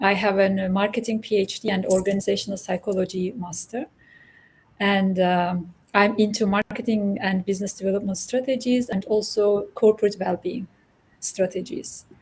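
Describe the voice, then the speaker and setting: Somewhat breathy, medium-pitched female voice with fairly even intonation. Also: moderate pace. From Turkey. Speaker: academic, organizational psychology. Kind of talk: panel discussion. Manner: hesitant, many fillers.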